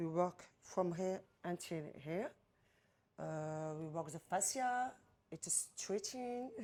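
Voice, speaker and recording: A woman with a French accent speaks very slowly, with long, frequent pauses, a fairly low pitch, lively intonation and a dark, mellow tone. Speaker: massage therapist and trainer. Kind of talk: explaining treatment. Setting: spa treatment room. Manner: halting non-native English.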